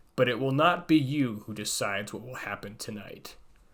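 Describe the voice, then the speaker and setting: On a very clean recording with a silent background, a man does a put-on character voice at medium pitch and a moderate pace. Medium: read story. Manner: menacing, sneering.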